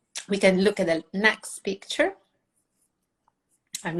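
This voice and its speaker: Against a quiet background, a woman with an Italian accent speaks with long, frequent pauses. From Italy. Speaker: food photographer and educator. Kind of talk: tutorial. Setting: live online session. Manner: halting.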